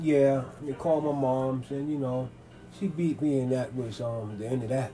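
This is a man speaking at a medium pitch. Background noise is clearly noticeable. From New York City (Manhattan and the Bronx). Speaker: interviewee. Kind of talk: interview. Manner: halting, many fillers.

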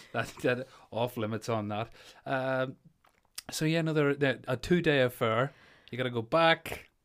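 A man at medium pitch with a Northern Irish accent, moderate pace, ordinary pitch variation and long, frequent pauses, on a very clean recording with a silent background. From Northern Ireland. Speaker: podcast host. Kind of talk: casual chat.

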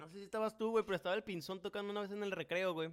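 A man with a Mexican accent is speaking. His pitch is high. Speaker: podcast host. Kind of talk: casual chat.

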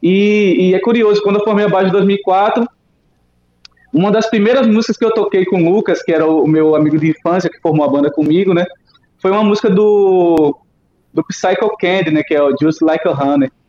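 A man with a high voice talks at a fairly quick pace, his pitch varying in an ordinary way. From Sergipe, Brazil. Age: 30s. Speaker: rock musician. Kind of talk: casual interview.

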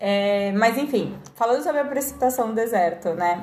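Noticeable background noise and audible echo from the room around a woman talking at a moderate pace. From Brazil. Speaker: podcast guest. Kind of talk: casual chat.

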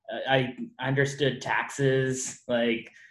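The speech moves at a very slow pace in a monotone, flat intonation. Room echo is audible. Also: man. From Las Vegas, Henderson. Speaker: podcast host. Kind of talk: casual chat.

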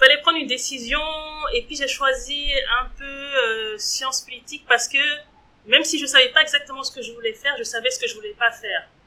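A woman speaks in a high, raised, projected voice at a fairly quick pace, with ordinary pitch variation and big swings in loudness. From Switzerland, Geneva. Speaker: entrepreneur. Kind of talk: interview. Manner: hesitant, frequent fillers.

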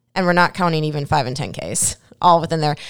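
A woman with an American accent talks at a fairly quick pace, her fairly low voice bright and sharp with an energetic tone. The recording is very clean, with a silent background. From Minnesota. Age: 40s. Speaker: gym manager and fitness coach. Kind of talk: casual interview.

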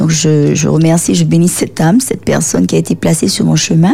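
Noticeable noise sits in the background as the speech unfolds at a moderate pace. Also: woman. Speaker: author. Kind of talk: radio interview.

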